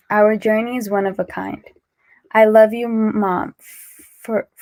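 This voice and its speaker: The recording of this woman is dry and close, with no echo. She speaks very slowly at a fairly high pitch, her intonation monotone and flat. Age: young. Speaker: young person who stutters reading letters. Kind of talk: reading aloud. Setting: livestreamed charity benefit.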